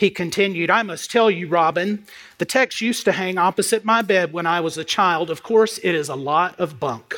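The clip has a natural reading voice. Its pitch varies in an ordinary way.

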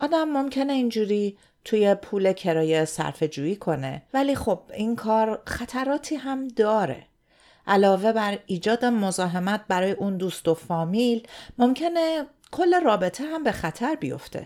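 A woman with a fairly high pitch and a dark, mellow tone speaks at a fairly slow pace. Her voice moves in very wide pitch swings, in a very clean recording with a silent background. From Iran. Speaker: podcast host. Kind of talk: scripted narration.

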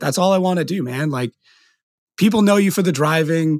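Recorded very cleanly with a silent background and a dry, close sound with no echo, a man speaks at a very fast pace with ordinary pitch variation. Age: 30s. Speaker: podcast host. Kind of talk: casual chat. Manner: animated.

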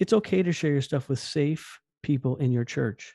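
This man has a fairly high pitch and a dark, mellow tone, recorded dry and close with no echo. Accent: American. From New Jersey. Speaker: youth pastor. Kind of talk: interview. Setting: remote call. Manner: fast, excitable.

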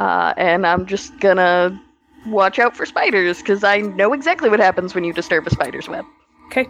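A woman's plain, everyday voice at a medium pitch, with lively intonation and a fairly quick pace. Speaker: tabletop game magazine writer. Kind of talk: actual play game session. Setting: video call.

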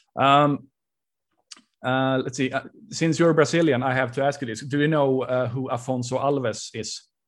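A man speaks with a Swedish accent at a moderate pace and medium pitch. His intonation is fairly even, and the background is quiet. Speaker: podcast host interviewer. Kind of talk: casual interview.

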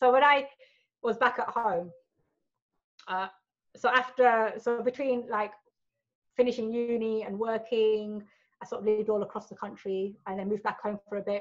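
A woman with a British accent at a moderate pace, with long, frequent pauses and big swings in loudness. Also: fairly even intonation. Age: 40s. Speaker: adult film performer. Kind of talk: casual interview chat.

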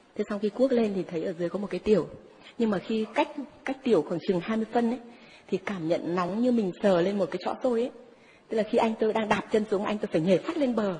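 Over noticeable background noise, a woman speaks very fast at a fairly high pitch with ordinary pitch variation. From northern Vietnam, Ninh Binh. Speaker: psychic. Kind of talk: testimony. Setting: stage with audience.

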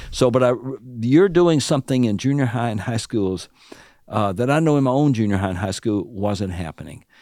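With a Southern US accent, a man talks at a fairly quick pace and medium pitch. His tone is dark and mellow, his intonation lively. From US South, Alabama. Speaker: author and seminary professor. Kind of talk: interview about prayer, conversational teaching. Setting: studio.

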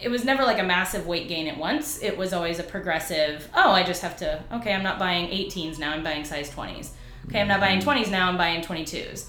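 A woman speaks at a fairly quick pace with hardly any pauses, her medium pitch showing ordinary variation. Noticeable background noise and audible room echo are present. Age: 30s. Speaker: PhD candidate and former special education teacher. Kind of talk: interview.

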